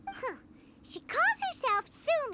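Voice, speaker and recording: In a put-on character voice, a female-sounding voice squeaks along at an extremely high pitch. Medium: video game. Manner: excitable.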